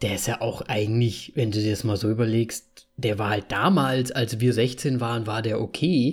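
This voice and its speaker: A man speaks with hardly any pauses. His voice is somewhat breathy, with ordinary pitch variation. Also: medium pitch for a man, moderate pace, very clean recording, silent background. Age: 30s. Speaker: podcast host. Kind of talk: casual chat.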